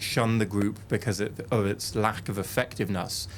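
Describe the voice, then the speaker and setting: An ordinary speaking voice from a man, fairly low-pitched, with fairly even intonation at a moderate pace. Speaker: interviewer, journalist. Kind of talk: interview question.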